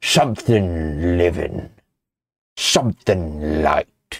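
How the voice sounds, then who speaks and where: Putting on a character voice, a man speaks with a raspy, very deep, low pitch. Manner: drawling.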